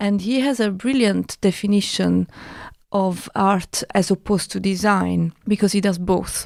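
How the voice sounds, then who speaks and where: A woman speaks at a fairly slow pace in an Italian accent, her pitch medium and her intonation fairly even. Her loudness stays very even, and the recording is very clean with a silent background. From Italy. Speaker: artist and broadcaster. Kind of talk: casual chat.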